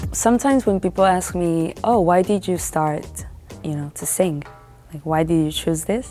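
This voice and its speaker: The delivery keeps a moderate pace with ordinary pitch variation. Music plays in the background. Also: woman, fairly low pitch for a woman. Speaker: singer. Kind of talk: interview answer.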